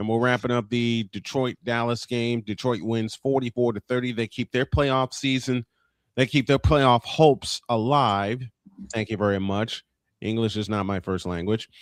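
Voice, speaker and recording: With an unremarkable speaking voice at medium pitch, a man talks at a moderate pace with fairly even intonation, in a dry, close sound with no echo. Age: 50s. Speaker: morning show host. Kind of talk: casual chat.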